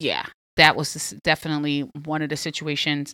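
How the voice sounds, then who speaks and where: In a New York accent, a woman with a very deep, low pitch sounds animated, her tone bright and sharp, on a very clean recording with a silent background. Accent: Queens New York. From Southside Jamaica, Queens, New York City. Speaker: podcast host. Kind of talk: casual chat.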